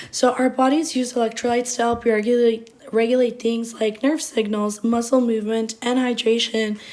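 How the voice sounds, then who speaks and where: A woman with a fairly high pitch speaks at a moderate pace in a flat monotone, her loudness very even and her pauses rare, over noticeable background noise. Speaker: nursing student. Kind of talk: class presentation.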